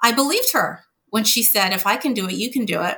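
A woman with a Montreal accent speaks at a fairly high pitch in a bright, sharp tone. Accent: Canadian English, Montreal anglophone. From Montreal, Canada (anglophone Quebec). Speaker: corporate lawyer. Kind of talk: interview.

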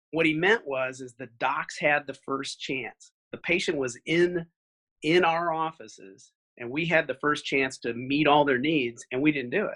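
With an American accent, a man with a normal speaking voice talks at a fairly high pitch with ordinary pitch variation against a quiet background. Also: moderate pace, dry, close sound with no echo. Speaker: optometrist, practice owner. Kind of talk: casual interview.

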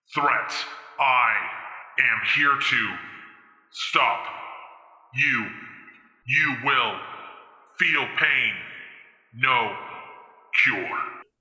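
In a put-on character voice, a man booms at a very slow pace with long, frequent pauses, a fairly high pitch and a clear echo. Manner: menacing.

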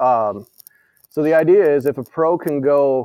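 With an American accent, a man speaks in a dark, mellow tone at a fairly high pitch. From US Midwest, western Illinois (Quad Cities). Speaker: golf course superintendent. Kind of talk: interview. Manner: hesitant, many fillers.

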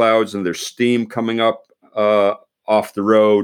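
The pace is fairly slow. The speaker is a man with an American accent. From Pennsylvania, US. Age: 60s. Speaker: retired army general, leadership author. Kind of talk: interview conversation. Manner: halting, many repeated words.

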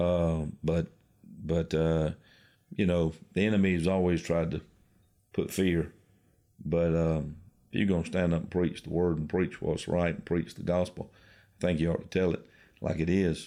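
A man with a South Carolina accent, very deep, low pitch and a dark, mellow tone, monotone and flat, at a moderate pace with long, frequent pauses, in a very clean recording with a silent background. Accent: Southern US (South Carolina). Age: 50s. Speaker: pastor. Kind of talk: interview.

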